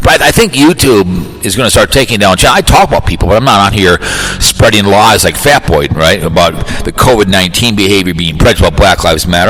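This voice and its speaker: With noticeable background noise behind him, a man speaks at a fairly low pitch with lively intonation. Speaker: podcast host. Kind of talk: casual monologue. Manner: fast.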